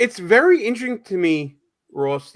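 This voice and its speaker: Here a man talks in an animated tone. The recording is very clean, with a silent background. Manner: casual, animated, stammers with repeated words.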